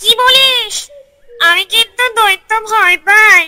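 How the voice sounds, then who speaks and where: This cartoonish character voice sounds female and sits at an extremely high pitch. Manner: nervous, greedy.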